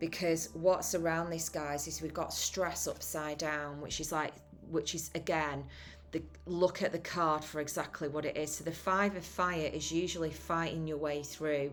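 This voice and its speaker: With music in the background, a woman in a British accent speaks at a moderate pace in a very deep, low pitch with monotone, flat intonation. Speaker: tarot reader. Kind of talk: tarot reading monologue. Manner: halting, self-correcting.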